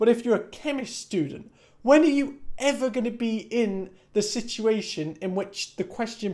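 A man talks at a moderate pace. His tone is dark and mellow. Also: quiet background. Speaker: university student vlogger. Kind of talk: casual vlog chat. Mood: annoyed, ranting. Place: home room. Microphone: camera far.

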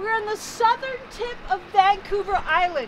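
Over noticeable background noise, a woman speaks at a fairly slow pace in a raised, projected voice. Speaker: tour guide. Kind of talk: tour guide commentary. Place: street.

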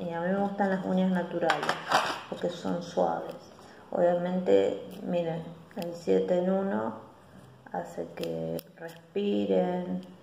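A woman with a Rioplatense accent speaks very slowly with long, frequent pauses, amid light background noise and audible room echo. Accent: Argentine Rioplatense Spanish. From Argentina. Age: 40s. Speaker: beauty vlogger. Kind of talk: casual vlog monologue. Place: home room. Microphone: phone near.

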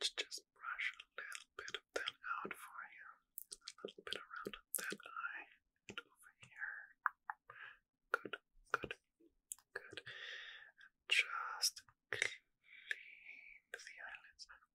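A man whispers at a very slow pace, leaving long, frequent pauses. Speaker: ASMR creator. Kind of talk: soft-spoken ASMR guided relaxation. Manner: soft, hushed close-mic ASMR voice. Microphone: studio mic.

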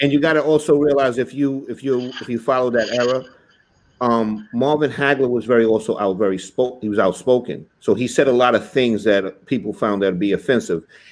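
Ordinary pitch variation and a fairly quick pace from a man. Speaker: talk show co-host. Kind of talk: casual chat. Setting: live stream. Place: home room.

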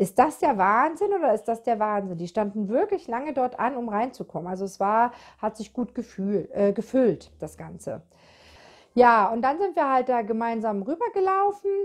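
A woman speaks at a moderate pace against a quiet background. Her pitch is fairly high for a woman and swings very widely. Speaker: knitting podcaster. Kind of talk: casual video podcast chat. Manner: chatty with many fillers.

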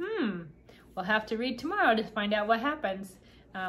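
The reading voice is unforced. Its intonation moves in a lively way.

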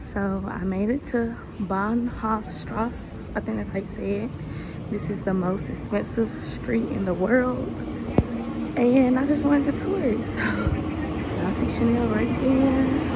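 A woman speaks at a fairly slow pace with long, frequent pauses. Loud background noise is present. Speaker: travel vlogger. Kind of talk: casual travel vlog narration. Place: street. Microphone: phone near.

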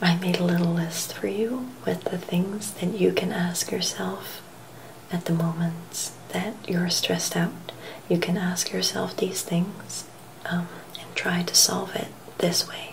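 A soft-spoken woman talks at a fairly slow pace in a gentle tone, fairly low in pitch. Her intonation stays fairly even over noticeable background noise. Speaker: vlogger giving self-help tips. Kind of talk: casual vlog chat. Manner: soft, gentle, hushed ASMR delivery. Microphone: webcam.

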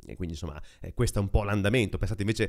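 A man speaks at a fairly low pitch with ordinary pitch variation. The background is quiet. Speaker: tech podcaster; tech news host. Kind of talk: casual monologue. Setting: apartment. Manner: close to mic, low gain. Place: home room. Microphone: very close to mic, low gain; studio mic.

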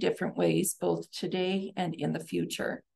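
At a moderate pace, a woman speaks with vocal fry, a dark, mellow tone and fairly even intonation. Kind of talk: official public update. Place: office. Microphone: webcam.

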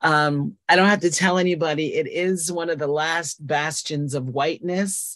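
Against a quiet background, a woman with an American accent speaks at a fairly slow pace, her fairly low voice showing ordinary pitch variation. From New Jersey (Hopewell Valley). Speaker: nonprofit coordinator. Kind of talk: panel discussion. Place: home room. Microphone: video call.

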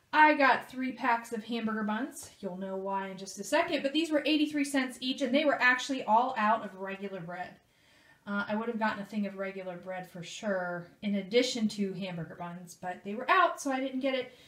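A woman talks at a fairly quick pace with big swings in loudness, and audible room echo surrounds her voice. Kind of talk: casual vlog chat. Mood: cheerful, pleased about deals. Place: home room. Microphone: phone near.

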